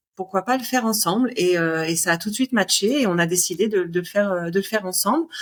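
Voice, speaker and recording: Hardly pausing at all, a woman speaks at a very fast pace in a medium pitch with ordinary pitch variation. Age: 40s. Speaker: cat hotel owner. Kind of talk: podcast interview. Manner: hesitant, many fillers.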